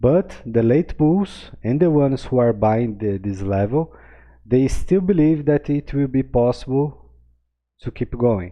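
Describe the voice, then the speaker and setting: A man with a non-native accent talks fairly slowly in a medium-pitched voice with lively intonation. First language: not English. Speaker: crypto trading analyst. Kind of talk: chart analysis tutorial. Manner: casual, filler-heavy with many okays.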